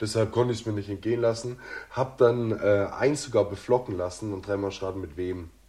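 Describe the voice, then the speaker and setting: This man has a dark, mellow tone that comes across somewhat breathy, with fairly low pitch. He speaks at a fairly quick pace with ordinary pitch variation. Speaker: podcast co-host. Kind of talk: casual chat.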